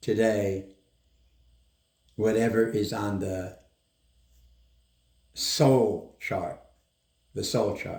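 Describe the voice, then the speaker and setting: Somewhat breathy, the voice moves at a very slow pace with fairly even intonation. Room echo is audible. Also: man. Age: 80s+. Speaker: doctor. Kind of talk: interview.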